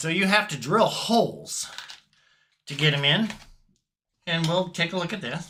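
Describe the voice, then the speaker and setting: A man speaks with a high pitch and a bright, sharp tone at a moderate pace. His pitch variation is ordinary, and he takes long, frequent pauses. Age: 60s. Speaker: guitar hobbyist YouTuber. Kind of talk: casual tutorial. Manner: casual, hesitant with fillers.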